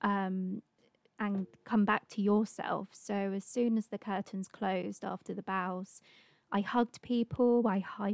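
In a dry, close sound with no echo and a quiet background, a woman with an ordinary speaking voice talks at a fairly slow pace, her medium pitch held to a fairly even intonation. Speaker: stage actress. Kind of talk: casual interview chat.

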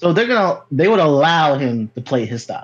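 Here a man speaks with an American accent at a fairly slow pace. His pitch is fairly high. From Connecticut. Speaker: caller. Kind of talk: call-in discussion. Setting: remote call.

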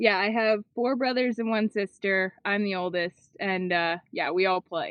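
This is an unremarkable speaking voice with ordinary pitch variation. It moves at a fairly slow pace. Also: woman, medium pitch for a woman. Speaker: disc golfer. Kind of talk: interview answers, casual chat.

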